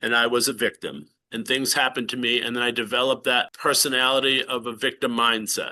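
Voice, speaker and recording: At a fairly quick pace, a man speaks with medium pitch and fairly even intonation. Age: 60s. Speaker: entrepreneur sharing healing story. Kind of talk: podcast interview testimony.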